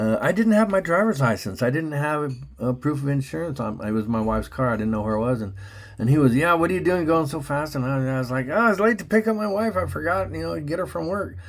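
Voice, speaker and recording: A man's fairly high voice, very fast, with very wide pitch swings. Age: 60s. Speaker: channel host talking to an AI chatbot. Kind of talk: casual conversational monologue. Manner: halting, repetitive.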